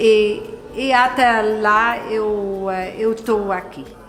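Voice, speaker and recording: Audible room echo colors the sound. Music runs behind it. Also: woman. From Netherlands. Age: 60s. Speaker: flower grower and immigrant. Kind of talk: documentary interview. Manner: halting.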